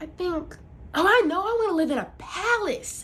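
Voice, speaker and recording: A woman puts on a squeaky character voice at an extremely high pitch. She speaks at a moderate pace over light background noise. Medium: stage play. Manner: imperious, nagging.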